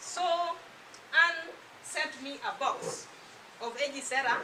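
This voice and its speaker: A woman's voice comes with noticeable background noise and audible echo from the room. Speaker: product distributor giving testimony. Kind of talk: testimony. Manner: soft-spoken.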